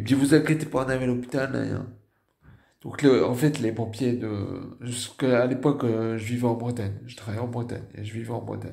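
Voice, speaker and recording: Amid audible room echo, a man speaks at a moderate pace and medium pitch, his intonation fairly even but his loudness swinging widely. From northern France. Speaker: stroke survivor vlogger. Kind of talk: personal testimony. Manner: halting.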